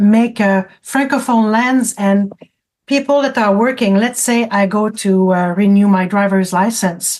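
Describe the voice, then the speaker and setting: A woman's medium-pitched voice with a French accent, very slow, very even in loudness, fairly even in intonation. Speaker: francophone community advocate. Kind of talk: radio interview. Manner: halting, with many repetitions.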